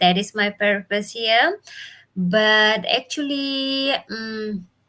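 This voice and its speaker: Speaking at a very slow pace, a woman has a bright, sharp tone and a fairly high pitch with ordinary pitch variation. The recording is very clean, with a silent background. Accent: Indonesian. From Bali, Indonesia. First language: Indonesian or Balinese. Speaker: business mentor. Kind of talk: live stream talk. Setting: live video stream from home.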